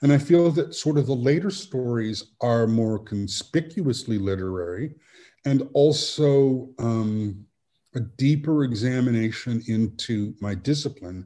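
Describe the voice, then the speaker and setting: With a dark, mellow tone, a man talks at a fairly slow pace using lively intonation. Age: 60s. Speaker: author; guest. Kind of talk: interview. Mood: thoughtful, measured. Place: home room. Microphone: video call.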